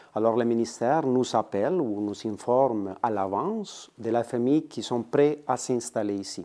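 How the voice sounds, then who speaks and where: With a slight Spanish accent, the speaker talks at a fairly slow pace in a dark, mellow tone, with ordinary pitch variation and hardly any pauses against a quiet background. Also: man, medium pitch for a man. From Colombia. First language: Spanish (speaking French). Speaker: immigrant integration worker. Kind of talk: interview.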